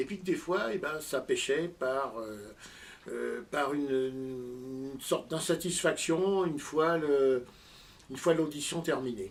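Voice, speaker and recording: At a very slow pace, a man with a fairly high voice speaks with ordinary pitch variation. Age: 60s. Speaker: amateur audio enthusiast and inventor. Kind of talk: interview. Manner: halting, many hesitations.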